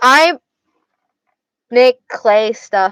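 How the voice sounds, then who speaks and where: In an Arizona accent, a woman speaks at a high pitch with a dry, close sound and no echo. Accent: Arizona accent, slurred words. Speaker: streamer. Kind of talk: casual livestream chat. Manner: slurred words. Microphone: connection cutting out.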